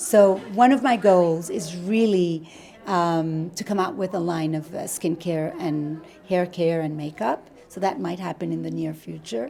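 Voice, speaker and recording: A woman's fairly low voice at a fairly slow pace, an ordinary speaking voice with ordinary pitch variation. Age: 60s. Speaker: wedding dress designer. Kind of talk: casual interview. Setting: bridal boutique.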